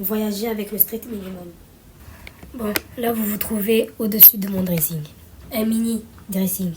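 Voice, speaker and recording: The speech goes at a fairly slow pace with fairly even intonation and long, frequent pauses. Noticeable background noise runs underneath. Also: woman, medium pitch for a woman. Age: 20s. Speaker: vlogger. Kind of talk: casual vlog talk to camera. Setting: at home.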